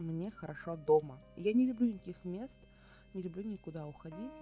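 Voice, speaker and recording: A woman's pitch swings very widely while she keeps a moderate tempo. Music is playing behind her. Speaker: vlogger. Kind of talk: casual talk to camera, Q&A vlog.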